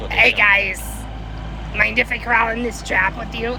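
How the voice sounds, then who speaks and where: A woman uses a put-on character voice at a moderate pace. Loud background noise fills the recording. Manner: cranky, world-weary.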